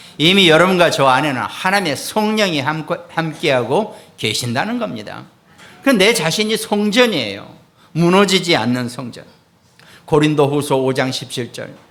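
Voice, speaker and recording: This man talks at a fairly high pitch with lively intonation and a moderate pace. Audible room echo surrounds his voice. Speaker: pastor. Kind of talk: sermon.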